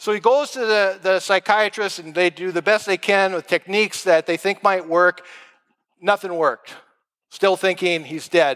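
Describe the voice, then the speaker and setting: A man speaks with an American accent in a high pitch. His intonation stays fairly even. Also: moderate pace, dry, close sound with no echo. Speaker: pastor. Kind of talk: sermon.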